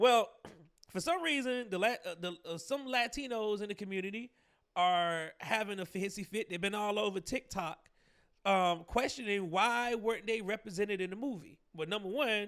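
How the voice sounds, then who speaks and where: Recorded very cleanly against a silent background, a man with an American accent talks at a moderate pace in a high voice with ordinary pitch variation. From Georgia, US South. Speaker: podcast host, commentator. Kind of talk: commentary monologue. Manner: casual, many fillers and repetitions.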